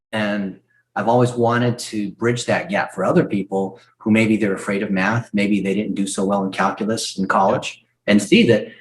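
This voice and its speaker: A fairly low male voice at a moderate pace, with fairly even intonation. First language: not English. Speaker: marketing expert, former search engineer. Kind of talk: podcast interview.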